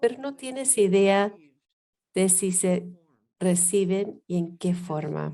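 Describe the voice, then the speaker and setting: A woman with an English accent speaks at a very slow pace. Her dark, mellow tone carries lively intonation. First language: English (speaking Spanish). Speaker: education professor. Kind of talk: workshop lecture.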